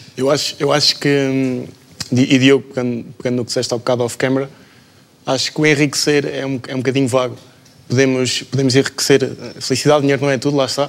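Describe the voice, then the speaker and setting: A man's very fast, monotone, flat delivery over noticeable background noise. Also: medium pitch for a man. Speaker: management student. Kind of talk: panel discussion.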